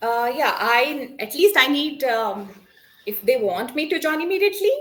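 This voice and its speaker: A woman at a moderate pace, high in pitch, with very wide pitch swings. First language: Konkani. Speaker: English learner. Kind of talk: one-on-one spoken English lesson. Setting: video call. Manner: halting, many fillers.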